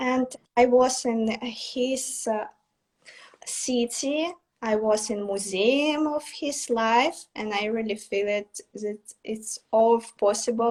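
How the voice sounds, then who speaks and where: A woman speaks very slowly with a Russian accent. Her voice sits fairly high, with ordinary pitch variation. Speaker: artist. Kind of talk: interview. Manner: halting.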